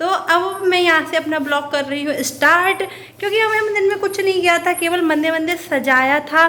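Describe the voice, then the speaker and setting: Projecting a raised voice, a woman speaks with an extremely high pitch. Her pace is moderate and her pitch variation ordinary. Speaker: vlogger. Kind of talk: casual vlog chat. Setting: at home. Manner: stumbling.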